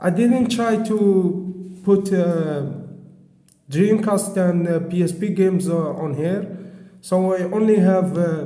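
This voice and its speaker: A man with a non-native accent talks at a very slow pace, his pitch high and his intonation fairly even. There is audible room echo around his voice. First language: not English. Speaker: tech reviewer. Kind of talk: product review. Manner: halting.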